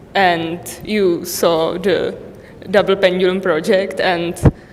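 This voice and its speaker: With noticeable background noise behind her, a woman speaks very slowly at medium pitch in a monotone, flat intonation. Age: 20s. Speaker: university student. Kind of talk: self-introduction at event.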